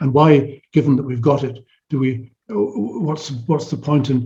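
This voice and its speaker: Somewhat breathy and dark, mellow in tone, a man speaks with ordinary pitch variation. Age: 70s. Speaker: psychology professor. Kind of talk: interview conversation. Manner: halting, with frequent restarts and repetitions.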